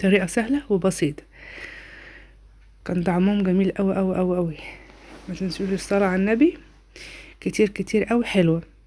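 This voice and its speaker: A woman with an Egyptian accent speaks at a moderate pace in a medium pitch, her dark, mellow tone carrying ordinary pitch variation and long, frequent pauses. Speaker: home cooking vlogger. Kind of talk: cooking tutorial. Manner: warm, chatty.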